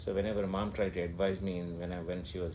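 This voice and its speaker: A man speaks at a fairly quick pace in a very deep, low pitch with a dark, mellow tone. His intonation is monotone and flat, and audible room echo surrounds him. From India, Mangalore. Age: 60s. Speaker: interviewee sharing memories. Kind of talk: casual interview, reminiscing. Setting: at home. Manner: halting, many fillers and repeats.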